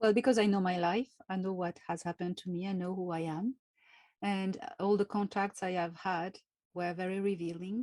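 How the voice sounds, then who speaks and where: A woman speaks with a French accent at a medium pitch. The sound is dry and close, with no echo. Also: fairly even intonation. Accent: French accent, weird way of talking. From France. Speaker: contactee, spiritual author. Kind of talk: interview. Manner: slow, careful.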